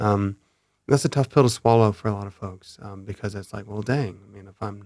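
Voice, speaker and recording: A man speaks at a fairly quick pace with fairly even intonation. The recording is very clean, with a silent background. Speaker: cinematographer. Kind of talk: casual chat. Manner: calm, even.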